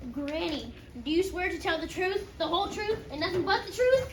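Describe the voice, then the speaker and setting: A put-on character voice at an extremely high pitch comes through with a slight echo and clear background noise. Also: moderate pace. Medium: stage play. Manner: stern, authoritative.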